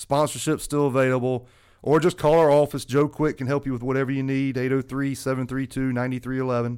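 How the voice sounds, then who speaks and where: In a South Carolina accent, a man with a medium pitch talks fairly quickly in a monotone, flat intonation. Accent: US Southern (South Carolina). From South Carolina (Lexington). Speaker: golf association executive director. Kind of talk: casual podcast chat. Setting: studio.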